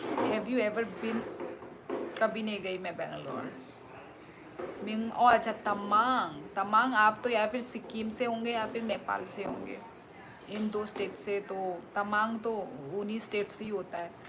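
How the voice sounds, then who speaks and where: Amid audible room echo and noticeable background noise, a woman with a Tripura accent speaks in a stern tone at a fairly high pitch with fairly even intonation. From Tripura, northeast India. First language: Kokborok (speaking Hindi). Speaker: live streamer, former teacher. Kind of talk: live stream chat reading viewer comments. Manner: loud; stern-sounding.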